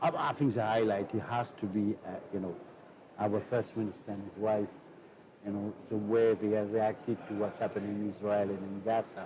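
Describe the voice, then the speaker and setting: A man talks at a moderate pace with a French accent, his pitch fairly low and his tone dark and mellow. His intonation stays monotone and flat. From France. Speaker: politician. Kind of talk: interview. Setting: studio. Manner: halting.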